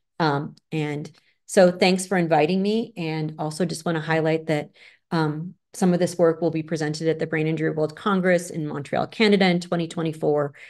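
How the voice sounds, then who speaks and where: In an ordinary speaking voice, a woman with an American accent talks at a moderate pace in a fairly low pitch, with fairly even intonation and a quiet background. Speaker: clinical researcher, psychologist. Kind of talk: lecture.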